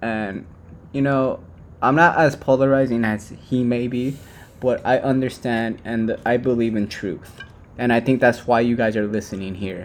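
A man with a plain, everyday voice, medium pitch, fairly even intonation and a moderate pace. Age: 20s. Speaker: podcast co-host. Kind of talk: casual chat.

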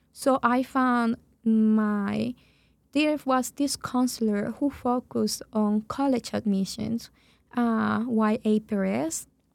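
A woman speaks very slowly at a fairly high pitch with ordinary variation, her loudness very even, on a very clean recording with a silent background. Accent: Spanish. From Venezuela. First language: Spanish. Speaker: program director. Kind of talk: casual interview.

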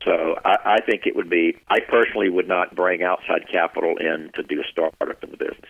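Speaking with a Southern US accent, a man keeps a fairly quick pace with hardly any pauses. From US South, South Carolina Piedmont. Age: 60s. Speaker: retired business executive. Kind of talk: interview.

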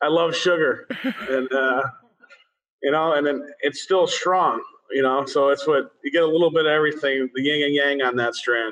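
Here a man speaks in a normal speaking voice, fairly high in pitch, with very even loudness and fairly even intonation. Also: moderate pace. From Massachusetts (Springfield). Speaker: cannabis cultivation manager. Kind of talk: interview.

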